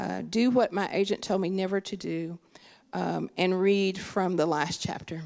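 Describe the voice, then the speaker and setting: The voice carries an Appalachian Kentucky accent, with fairly even intonation at a fairly slow pace. The recording is very clean, with a silent background. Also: woman, medium pitch for a woman. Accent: Appalachian Kentucky accent, noticeable. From Kentucky, Appalachia. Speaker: writer and professor. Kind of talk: author talk.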